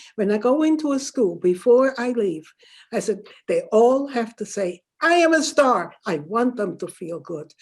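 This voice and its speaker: A woman with a German accent, fairly high in pitch, with very wide pitch swings at a fairly slow pace, on a very clean recording with a silent background. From Germany, Württemberg. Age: 80s+. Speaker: Holocaust survivor and author. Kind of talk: interview. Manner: halting.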